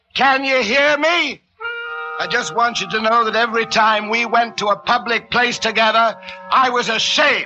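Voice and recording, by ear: A man's put-on character voice, extremely high in pitch, bright and sharp in tone, with ordinary pitch variation, a moderate pace and faint music in the background.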